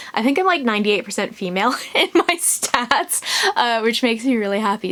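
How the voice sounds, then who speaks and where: Over noticeable background noise, a woman speaks fairly quickly in a fairly high pitch. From California, US. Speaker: booktuber. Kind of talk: casual Q&A video. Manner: casual, many filler words.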